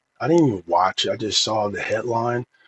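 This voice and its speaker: A man's somewhat breathy voice sits at medium pitch. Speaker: tech reviewer, AI music tools. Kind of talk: casual tutorial review. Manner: halting, many fillers.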